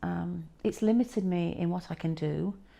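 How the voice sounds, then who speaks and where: A woman's fairly low, dark, mellow voice with a Yorkshire accent. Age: 60s. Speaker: patient sharing illness story. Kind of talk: testimony. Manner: halting.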